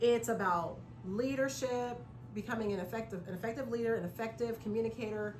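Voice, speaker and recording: A woman with an American accent talks at a very fast pace and a fairly high pitch, with audible room echo and music playing in the background. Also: ordinary pitch variation. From California. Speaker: public speaking club member. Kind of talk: conversational interview.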